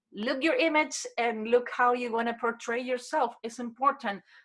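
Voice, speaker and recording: A bright, sharp tone with a non-native accent at a moderate pace. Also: woman. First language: Spanish. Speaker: human behavior expert. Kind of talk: interview.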